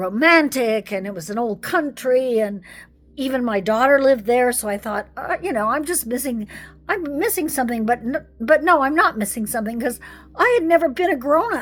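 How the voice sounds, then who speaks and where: A woman speaks at a high pitch with an American accent. Her intonation is lively. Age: 60s. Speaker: retired psychologist. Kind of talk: personal testimony vlog.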